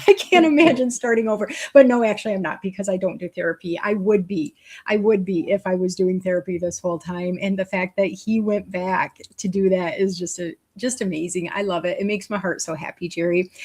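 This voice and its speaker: Her somewhat breathy voice moves at a fairly quick pace with ordinary pitch variation. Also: medium pitch for a woman. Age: 50s. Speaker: talk show host. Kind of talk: casual chat. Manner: fast; animated.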